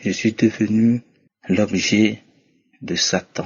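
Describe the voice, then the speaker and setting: Delivery is very slow. The intonation stays monotone and flat. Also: man. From Togo. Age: 50s. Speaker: testimony giver. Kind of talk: testimony.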